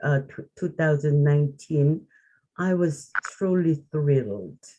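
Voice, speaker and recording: Someone with a Korean accent speaks at a very slow pace. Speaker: arts organization leader. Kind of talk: group reflection on video call. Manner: halting.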